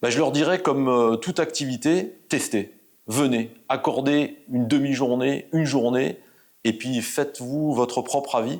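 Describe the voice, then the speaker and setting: At a fairly slow pace, a man talks with a medium pitch, ordinary pitch variation, and very even loudness. The recording is very clean, with a silent background. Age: 60s. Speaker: volunteer mentor and sales manager. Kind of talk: interview testimony. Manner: hesitant, many fillers.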